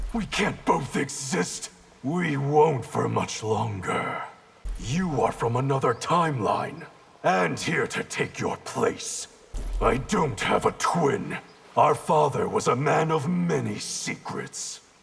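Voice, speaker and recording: A man growls in a put-on character voice, his pitch fairly high and his pace fairly slow. Faint music plays in the background. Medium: short film. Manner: cold, terse.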